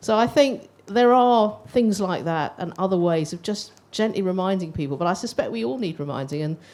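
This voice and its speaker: A woman speaks with a British accent in a dark, mellow tone. Her intonation is lively. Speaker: older people's charity representative. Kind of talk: panel discussion.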